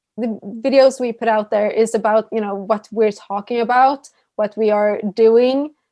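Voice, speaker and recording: A woman with a Swedish accent speaks at a moderate pace in a fairly high pitch, her tone dark and mellow and her intonation monotone and flat. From Sweden. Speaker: YouTuber. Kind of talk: casual chat.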